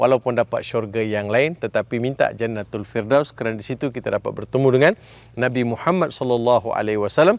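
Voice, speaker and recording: With a Malaysian accent, a man talks very fast at a medium pitch, with ordinary pitch variation, hardly any pauses, and a dry, close sound that has no echo. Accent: Malaysian Malay. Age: 60s. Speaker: Islamic preacher. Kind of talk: sermon.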